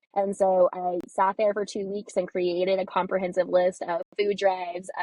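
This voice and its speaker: Intonation stays monotone and flat as a woman talks at a medium pitch. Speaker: community organizer and advocate. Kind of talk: interview. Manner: loud.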